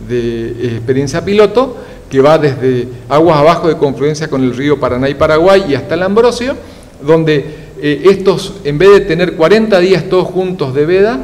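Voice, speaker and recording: A man's fairly high voice at a moderate pace, with lively intonation and noticeable background noise. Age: 60s. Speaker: fish scientist and institute director. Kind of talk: TV news interview. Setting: TV studio. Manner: hesitant, many fillers.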